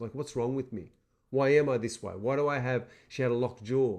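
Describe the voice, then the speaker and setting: The surroundings are silent. Speaking with an Australian accent, a man is heard. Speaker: seminar presenter. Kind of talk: motivational webinar talk. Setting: webinar.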